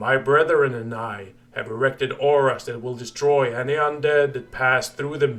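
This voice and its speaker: Using a put-on character voice at a medium pitch, a man talks at a moderate pace with hardly any pauses. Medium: read story. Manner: measured, calm.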